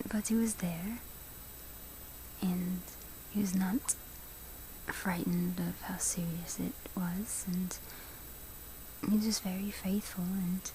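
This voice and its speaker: Noticeable background noise sits behind a soft-spoken woman with a gentle tone. She talks at a very slow pace with fairly even intonation. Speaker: ASMR content creator. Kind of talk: ASMR close-up whisper talk about her relationship. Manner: soft-spoken, close-mic, gentle.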